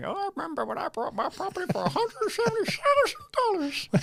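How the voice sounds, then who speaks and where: An extremely high-pitched, put-on character voice races along at a very fast pace. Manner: reminiscing, nostalgic.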